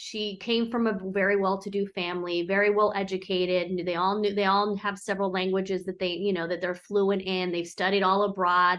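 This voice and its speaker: With an American accent, a woman at a medium pitch uses an ordinary speaking voice at a moderate pace. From San Diego, US. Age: 40s. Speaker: businesswoman. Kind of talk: casual chat.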